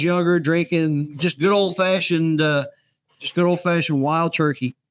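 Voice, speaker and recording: High-pitched male voice with a Texan accent, fairly even intonation, and a very clean recording against a silent background. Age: 70s. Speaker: author. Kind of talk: casual chat. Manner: halting, repeats words.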